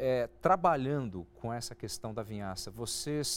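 This man has a plain, everyday voice at a medium pitch, moving at a moderate pace with lively intonation. The recording is very clean, with a silent background. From interior of São Paulo state, Brazil. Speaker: agribusiness TV show host. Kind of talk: interview.

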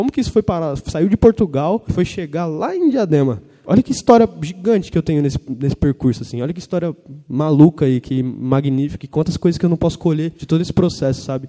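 This man's voice sits fairly high for a man, with a dark, mellow tone and lively intonation. He talks at a very fast pace, and the sound is dry and close with no echo. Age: 20s. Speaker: writer and journalist. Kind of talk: panel talk.

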